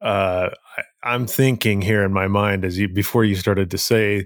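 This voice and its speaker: A man with a plain, everyday voice speaks at a fairly slow pace, his pitch fairly low and its variation ordinary. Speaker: podcast co-host. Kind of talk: casual chat.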